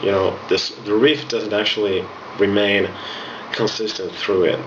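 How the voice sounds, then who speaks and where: Audible room echo surrounds a man's voice, and noticeable background noise is present too. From Finland. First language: Finnish. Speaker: music instructor. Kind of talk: tutorial.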